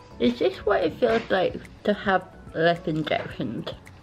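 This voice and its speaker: A woman speaks at a very even loudness. Faint music plays in the background. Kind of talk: casual vlog chat. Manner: dazed, numb-lipped slow speech.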